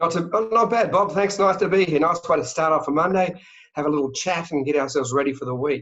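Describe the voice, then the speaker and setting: Speaking very fast in an Australian accent, a man uses a high pitch with ordinary variation. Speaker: travel company sales director. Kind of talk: interview. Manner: animated.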